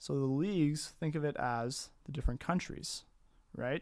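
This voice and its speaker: With normal rises and falls in pitch, a man delivers his words at a medium speed. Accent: Canadian Maritime. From Maritime Canada, New Brunswick. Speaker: soccer podcast co-host. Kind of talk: casual chat.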